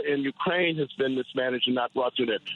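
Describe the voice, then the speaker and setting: Noticeable noise behind a man speaking. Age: 60s. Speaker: caller. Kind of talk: political call-in rant. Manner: rapid, run-on with repetitions.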